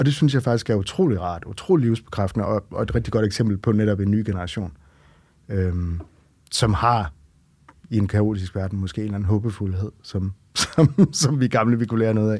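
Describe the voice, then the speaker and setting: Captured on a very clean recording with a silent background, a man speaks at a moderate pace in a fairly low pitch with ordinary pitch variation. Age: 40s. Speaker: romance reader. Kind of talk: casual interview. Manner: hesitant, many fillers.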